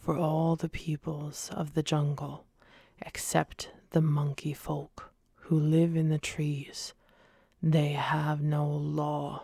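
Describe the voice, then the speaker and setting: A woman whispers very slowly, soft-spoken and somewhat breathy, on a very clean recording with a silent background. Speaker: ASMR reader. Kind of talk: audiobook-style ASMR reading. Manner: soft-spoken, whispering, relaxing.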